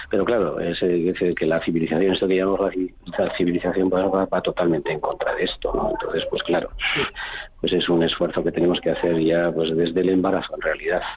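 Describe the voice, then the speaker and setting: A man talks at a very fast pace while noticeable background noise carries on behind him. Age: 60s. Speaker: cardiologist. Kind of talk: radio interview. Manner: hesitant, with many fillers.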